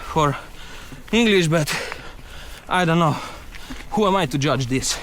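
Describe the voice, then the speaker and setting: A man speaks with a high pitch and lively intonation at a moderate pace. Noticeable background noise sits behind him. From Slovenia. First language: Slovenian. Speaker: mountain bike vlogger. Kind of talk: casual vlog narration. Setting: outdoors on bike trail. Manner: halting; animated.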